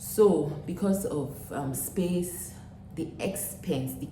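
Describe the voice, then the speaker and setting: A woman with a Nigerian accent speaks with lively intonation, heard through audible room echo and noticeable background noise. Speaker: vlogger, former teacher. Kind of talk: casual vlog talk to camera. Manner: hesitant, with fillers.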